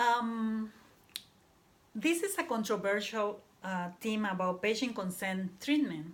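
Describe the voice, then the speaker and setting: A woman with a Panamanian accent talks at a fairly high pitch and a very slow pace, her intonation lively and her pauses long and frequent. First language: Spanish. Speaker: student. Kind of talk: class presentation. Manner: halting.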